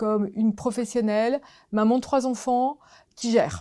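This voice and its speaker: Her tone dark and mellow, a woman speaks at a fairly slow pace with fairly even intonation in a very clean recording with a silent background. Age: 60s. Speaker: diversity consultant, company founder. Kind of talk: interview. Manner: hesitant, many fillers.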